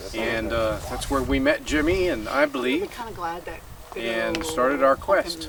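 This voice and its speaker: A man speaks at a fairly slow pace, with noticeable background noise present. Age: 60s. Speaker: hiker. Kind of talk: interview.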